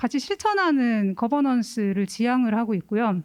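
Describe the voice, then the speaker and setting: With a Gyeongsang accent, a woman speaks at a high pitch and moderate pace, the sound dry and close with no echo on a very clean recording with a silent background. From Gyeongsang region, South Korea. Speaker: cultural center administrator. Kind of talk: forum presentation.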